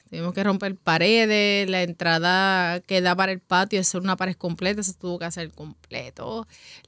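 With a bright, sharp tone and medium pitch, a woman talks at a moderate pace with hardly any pauses and monotone, flat intonation, the sound dry and close with no echo on a very clean recording with a silent background. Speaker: bar owner. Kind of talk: interview conversation.

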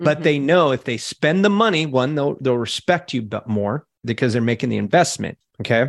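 A man with a normal speaking voice talks at a fairly quick pace and fairly high pitch, with lively intonation and hardly any pauses. The sound is dry and close, with no echo. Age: 40s. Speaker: digital marketing entrepreneur. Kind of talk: interview.

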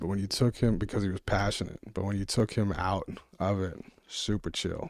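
A man with an American accent and a plain, everyday voice speaks at a fairly low pitch and a moderate pace, with fairly even intonation. The recording is very clean, with a silent background. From New Jersey (South Jersey, Winslow/Sicklerville). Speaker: magazine publisher. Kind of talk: casual chat. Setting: studio.

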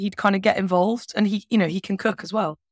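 Recorded very cleanly against a silent background, a woman with a British accent speaks at a medium pitch in a dry, close sound with no echo. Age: 40s. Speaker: money coach and former chef. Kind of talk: casual chat. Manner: animated.

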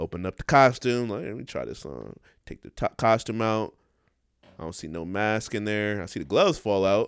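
A man's fairly low voice carries an animated tone with ordinary pitch variation. The recording is very clean, with a silent background and a dry, close sound with no echo. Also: moderate pace. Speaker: podcast co-host. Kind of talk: casual chat.

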